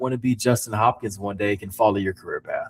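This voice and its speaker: Animated and somewhat breathy, a man speaks at a fairly quick pace. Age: 30s. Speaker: podcast host. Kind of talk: interview. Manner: casual, animated.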